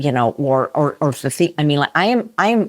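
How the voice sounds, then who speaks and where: With an American accent, a woman speaks at a fairly quick pace and a very deep, low pitch in a very clean recording with a silent background. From US Midwest, Chicago. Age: 60s. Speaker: vegan chef and cookbook author. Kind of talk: podcast interview.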